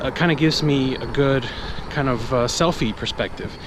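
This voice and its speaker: A man with a medium pitch speaks fairly quickly with fairly even intonation. Audible room echo and noticeable background noise are in the recording. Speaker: vlogger testing camera gear. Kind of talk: casual vlog tutorial. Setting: outdoors, walking.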